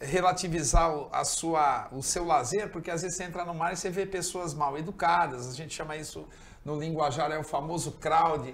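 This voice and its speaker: Audible room echo surrounds a man's fairly high voice. He keeps a moderate pace and fairly even intonation. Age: 60s. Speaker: surfer. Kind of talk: talk show interview.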